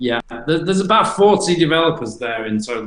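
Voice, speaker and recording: The speaker talks at a fairly quick pace with an English accent. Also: man. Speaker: crypto company CEO. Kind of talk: casual interview.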